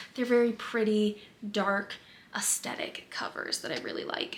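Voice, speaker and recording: Noticeable background noise is present throughout. A woman keeps to a moderate pace. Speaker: book vlogger. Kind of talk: casual chat.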